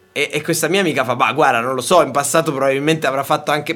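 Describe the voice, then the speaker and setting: A man is speaking. His pitch sits fairly high. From Sicily and Tuscany, Italy. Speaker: radio call-in show host. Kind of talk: casual call-in banter. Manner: animated.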